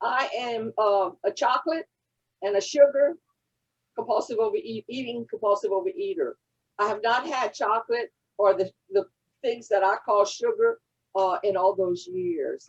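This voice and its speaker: A woman with a Louisiana accent, fairly high-pitched, with lively intonation and long, frequent pauses, in a dry, close sound with no echo. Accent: Cajun Southern drawl. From Louisiana Cajun country. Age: 80s+. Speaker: recovery fellowship member. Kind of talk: testimony. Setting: convention session.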